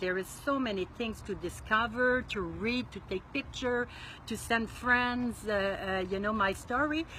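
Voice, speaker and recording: A woman speaks at a fairly slow pace, her pitch fairly high with ordinary variation. Noticeable background noise sits behind her. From Quebec, Montreal. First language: French. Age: 60s. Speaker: solo RV traveler. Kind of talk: interview. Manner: halting.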